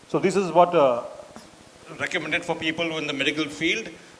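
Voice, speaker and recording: Over noticeable background noise, the delivery is very fast. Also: man. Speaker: doctor. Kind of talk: lecture.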